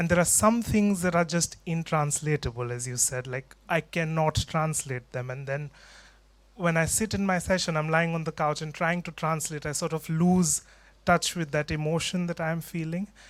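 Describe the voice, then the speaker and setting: In a very clean recording with a silent background, the speaker talks at a moderate pace in a non-native accent. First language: not English. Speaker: audience member, mental health trainee. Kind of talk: audience question at panel. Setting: conference hall with audience.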